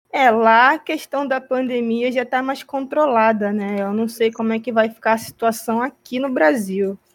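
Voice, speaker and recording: Moderate pace, hardly any pauses, ordinary pitch variation and an unremarkable speaking voice on a very clean recording with a silent background. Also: woman, fairly high pitch for a woman. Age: 30s. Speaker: podcast co-host. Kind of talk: casual chat.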